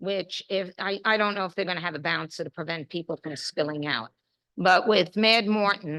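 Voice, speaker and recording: A woman's fairly low voice, bright and sharp in tone, at a moderate pace with ordinary pitch variation, in dry, close sound with no echo. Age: 70s. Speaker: local resident speaking at public meeting. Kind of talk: public comment at community meeting.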